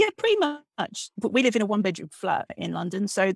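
A woman speaks at medium pitch and a moderate pace. It's an unremarkable speaking voice, with a dry, close sound and no echo. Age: 40s. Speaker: novelist. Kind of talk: casual interview. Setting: at home, bedroom.

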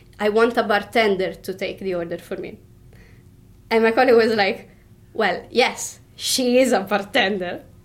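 At a moderate pace, a woman speaks in an Italian accent with a fairly high pitch and ordinary pitch variation. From Italy, Tuscany. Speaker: bartender. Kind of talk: interview. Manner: halting.

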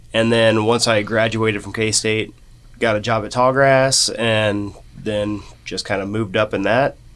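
With a Midwestern American accent, a man speaks fairly slowly at a medium pitch in a flat, monotone delivery. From western Kansas (Norton). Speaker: brewery co-owner and brewer. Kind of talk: casual interview.

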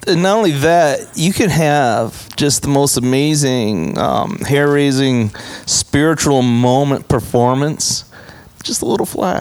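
The speaker has an American accent and ordinary pitch variation at a fairly slow pace. Noticeable background noise runs underneath. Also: man, fairly high pitch for a man. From US Midwest. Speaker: recording engineer. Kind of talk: casual interview. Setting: recording studio.

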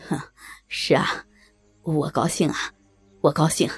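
A shaky, put-on character voice of middle pitch at a fairly slow pace, faint music in the background. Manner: nervous, forced cheerfulness.

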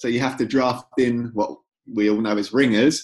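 A man speaks at a medium pitch with a North London accent. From North London, England. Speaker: author. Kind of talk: casual chat.

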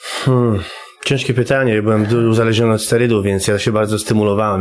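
Over noticeable background noise, a man with a fairly low voice talks at a very fast pace with fairly even intonation. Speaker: former prisoner and recovering addict sharing a conversion story. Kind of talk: testimony. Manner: halting, with many repetitions.

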